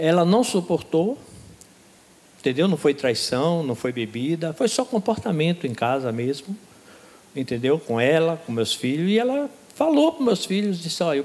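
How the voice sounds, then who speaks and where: Very wide pitch swings from a high-pitched man, moderately paced. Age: 60s. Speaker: baptism candidate. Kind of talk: testimony. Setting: church.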